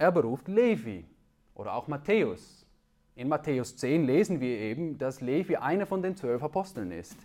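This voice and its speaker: In a Dutch accent, a man with a fairly high pitch and a dark, mellow tone swings his pitch very widely, with vocal fry. The recording is very clean, with a silent background. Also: moderate pace. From Netherlands. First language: Dutch (speaking German). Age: 30s. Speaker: preacher. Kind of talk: sermon. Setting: church.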